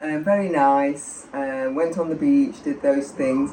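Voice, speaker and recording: Noticeable background noise sits behind speech at a fairly slow pace. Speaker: expat guest. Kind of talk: interview storytelling.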